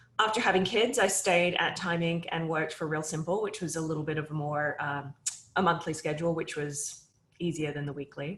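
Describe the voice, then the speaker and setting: A woman's fairly quick, fairly low-pitched voice in an American accent, with ordinary pitch variation. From Australia. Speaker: media company CEO. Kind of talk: interview.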